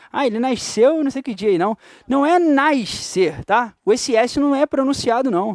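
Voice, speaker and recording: A man's extremely high-pitched, animated voice with a Carioca accent, dry and close with no echo, on a very clean recording over a silent background. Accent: carioca Brazilian Portuguese. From Rio de Janeiro, Brazil. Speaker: teacher. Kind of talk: lecture.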